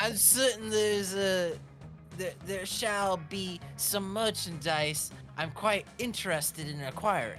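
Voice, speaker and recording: Over music in the background, a strained, put-on character voice comes through at a middle pitch and a fairly slow pace. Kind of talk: formal, stilted phrasing. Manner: strained, slipping.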